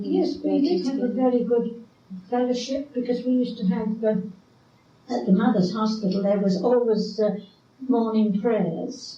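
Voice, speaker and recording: Over noticeable background noise, a woman talks at a moderate pace in a fairly high pitch. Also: ordinary pitch variation. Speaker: retired midwife. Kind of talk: oral history interview answer.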